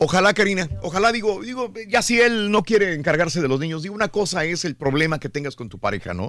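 A man with a high voice talks very fast with hardly any pauses. His intonation is lively and his loudness swings widely. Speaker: radio host. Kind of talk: morning radio show banter. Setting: studio.

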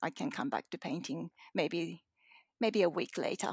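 A woman with a fairly low pitch speaks with vocal fry in a dry, close sound with no echo. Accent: Japanese. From Japan, moved to Australia at ten. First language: Japanese. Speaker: painter. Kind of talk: interview. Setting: remote call from home. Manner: hesitant, many fillers.

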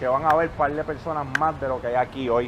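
Man at a fairly quick pace with ordinary pitch variation, over noticeable background noise. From Puerto Rico, Canóvanas. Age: 30s. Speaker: motivational speaker and investor. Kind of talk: motivational talk to live audience. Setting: outdoor basketball court event with audience.

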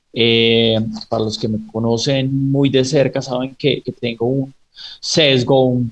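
A man's voice sits at a medium pitch. Its pitch variation is ordinary. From Pereira, Colombia and raised in the US. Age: 30s. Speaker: startup founder and investor. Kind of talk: radio interview. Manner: halting, many repetitions.

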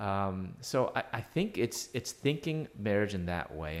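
A man with an American accent and an unremarkable speaking voice, fairly low in pitch, at a moderate pace, on a very clean recording with a silent background. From United States. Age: 50s. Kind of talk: interview.

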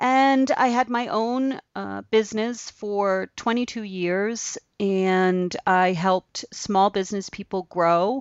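This clip features a woman's voice. Her pitch variation is ordinary. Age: 50s. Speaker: abstract artist. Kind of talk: casual chat.

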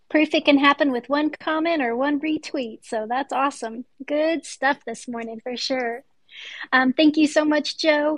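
Dry and close with no echo, the recording holds a woman's warm tone. Her pitch is high and her intonation fairly even. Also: moderate pace. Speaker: podcast host. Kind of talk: moderating a live audio room. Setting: Twitter space audio room.

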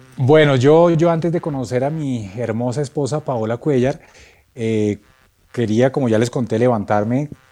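This man's voice sits at a medium pitch with ordinary pitch variation. He speaks at a moderate pace with music in the background. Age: 40s. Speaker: sound engineer and composer. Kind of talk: testimony.

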